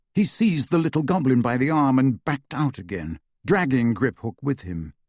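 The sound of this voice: There is a quiet background behind an unforced reading voice.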